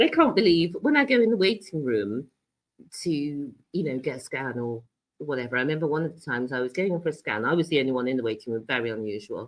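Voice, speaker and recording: With a British accent, a woman speaks very fast in a very deep, low pitch. Her intonation is lively. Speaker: cancer patient and health coach. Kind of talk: interview.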